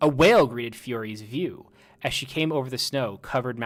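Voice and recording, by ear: Someone is reading aloud in a natural voice, with pitch that varies in an ordinary way.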